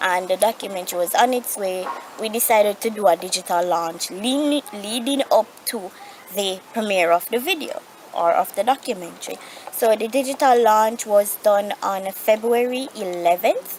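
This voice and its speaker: Through noticeable background noise, a woman speaks at a fairly high pitch. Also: ordinary pitch variation, moderate pace. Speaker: vlogger living with osteogenesis imperfecta. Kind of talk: casual vlog update. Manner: halting, self-correcting.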